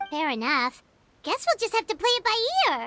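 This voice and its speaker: Squeaky and extremely high, this put-on character voice moves at a moderate pace with very wide pitch swings. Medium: video game. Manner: bright, eager.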